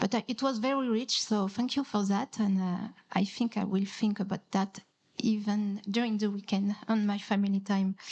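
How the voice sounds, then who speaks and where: With a non-native accent, a woman talks at a moderate pace in a medium-pitched, somewhat breathy voice, her intonation fairly even and her loudness very even. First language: not English. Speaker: audience member at a conference panel. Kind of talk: audience question in panel Q&A. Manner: halting, many hesitations and repeats.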